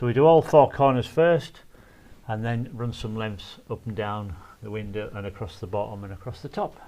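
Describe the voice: A man's fairly low voice carries a dark, mellow tone and fairly even intonation.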